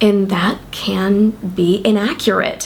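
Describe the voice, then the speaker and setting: Against noticeable background noise, a woman speaks in an upbeat tone. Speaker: writer. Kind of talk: casual talk to camera.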